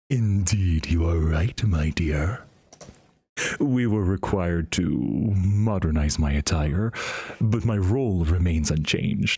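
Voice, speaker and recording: A man's put-on character voice, very deep and low, at a fairly slow pace with long, frequent pauses. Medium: game stream. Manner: formal, old-fashioned, says "my dear".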